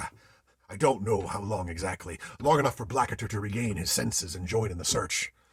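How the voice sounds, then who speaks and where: This man talks at a moderate pace in a put-on character voice. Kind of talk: solo theatre ghost story monologue.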